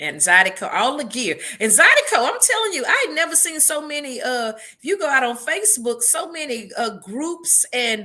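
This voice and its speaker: A woman with an American accent speaks at a moderate pace in a raised, projected voice, high-pitched and animated, with very wide pitch swings and hardly any pauses over noticeable background noise. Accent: country twang. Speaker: podcast co-host. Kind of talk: casual chat.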